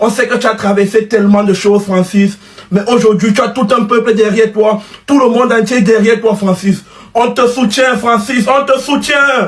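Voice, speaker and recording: Over noticeable background noise, a man with a high voice speaks at a moderate pace, with fairly even intonation and very even loudness. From Cameroon. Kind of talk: fan reaction video.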